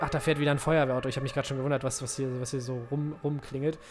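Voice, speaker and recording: A man rattles off his words very quickly amid noticeable background noise. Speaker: football podcast co-host. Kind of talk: casual chat.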